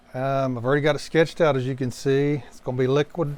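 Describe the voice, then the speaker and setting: A man with a West Virginia accent talks at a fairly quick pace. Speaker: painting instructor. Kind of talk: tutorial. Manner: casual, relaxed.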